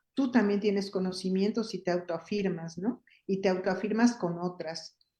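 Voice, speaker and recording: At a moderate pace, a woman speaks in a dark, mellow tone with fairly even intonation. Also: medium pitch for a woman. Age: 60s. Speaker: feminist activist and workshop leader. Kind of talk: interview conversation.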